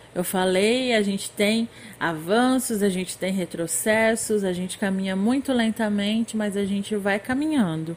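With an ordinary speaking voice, a woman talks at a fairly slow pace and a fairly high pitch. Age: 20s. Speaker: former social work student, master's graduate. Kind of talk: interview.

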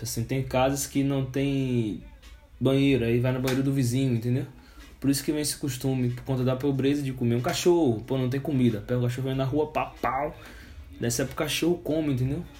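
Monotone, flat intonation at a fairly quick pace, with audible room echo. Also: man, medium pitch for a man. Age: 20s. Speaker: podcast host. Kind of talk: casual chat.

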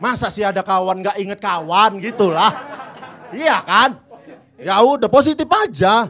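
Over noticeable background noise, a man with a high voice speaks in a raised, projected way, fairly slowly and with lively intonation. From Indonesia, North Sumatra (Batak, Medan). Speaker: stand-up comedian. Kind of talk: stand-up.

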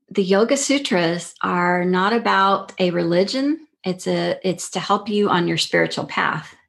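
An ordinary speaking voice from a woman with an American accent, medium in pitch with ordinary pitch variation, at a fairly slow pace with hardly any pauses, over a quiet background. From Texas, El Paso. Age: 50s. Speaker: yoga teacher. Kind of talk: casual interview.

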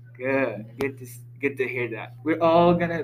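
A man's voice comes through with noticeable background noise behind it. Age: young. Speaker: student group discussion leader. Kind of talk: casual chat. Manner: halting.

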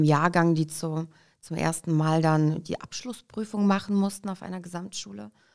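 In a very clean recording with a silent background, a woman with an ordinary speaking voice talks at a moderate pace, her fairly low pitch carrying ordinary pitch variation. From Kazakhstan, raised in Hesse, Germany from age five. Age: 30s. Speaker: entrepreneur, shop franchise founder. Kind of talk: interview.

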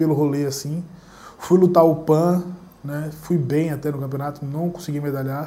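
With a dark, mellow tone and a fairly high pitch, a man speaks in a room with audible echo. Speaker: jiu-jitsu instructor and YouTuber. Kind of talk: solo Q&A monologue. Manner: casual, conversational.

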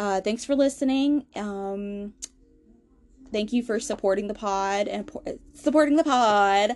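With a Southern US accent, a woman talks fairly slowly at a fairly high pitch. She takes long, frequent pauses, and her pitch varies in an ordinary way. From US South. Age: 20s. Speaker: podcast host. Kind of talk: casual personal storytelling monologue. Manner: hesitant, many fillers.

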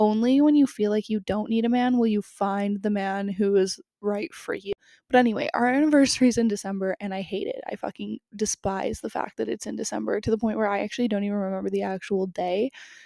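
A woman with a dark, mellow tone speaks very fast at a medium pitch, her intonation fairly even. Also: dry, close sound with no echo. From Canada. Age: 20s. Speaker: podcast host and TikTok creator. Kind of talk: casual solo chat. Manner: casual with frequent fillers.

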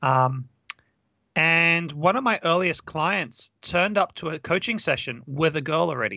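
A man with a high voice speaks at a fairly slow pace, with lively intonation and an Australian accent. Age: 30s. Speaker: dating coach. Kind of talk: interview.

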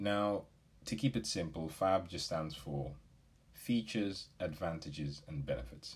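Somewhat breathy and with a very deep, low pitch, a man speaks with lively intonation. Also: fairly slow pace. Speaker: business podcast host. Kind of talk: solo podcast talk. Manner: casual, with filler words.

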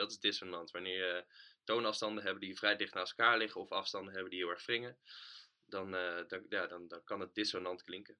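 Bright and sharp in tone, a man's fairly low-pitched voice moves at a moderate pace. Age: 20s. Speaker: band bassist. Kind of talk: casual interview. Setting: home studio.

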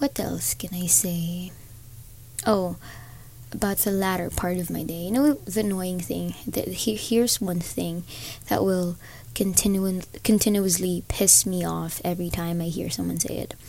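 A somewhat breathy woman's voice, fairly low in pitch, with a dark, mellow tone at a moderate pace. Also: ordinary pitch variation. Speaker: podcaster. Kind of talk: casual monologue.

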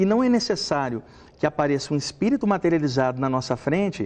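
A man talks with lively intonation at a fairly quick pace, the background quiet. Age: 40s. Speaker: medium and spiritual author. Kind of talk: TV talk show interview.

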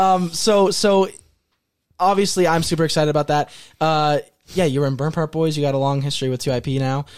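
A man talks at a fairly quick pace in a normal speaking voice, his pitch fairly high with ordinary variation. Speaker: podcast host. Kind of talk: casual chat.

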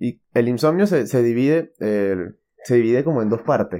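A man speaks at a moderate pace with a dark, mellow tone and a medium pitch. The background is quiet. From Venezuela. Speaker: podcast host. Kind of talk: casual solo podcast monologue. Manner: hesitant, many fillers.

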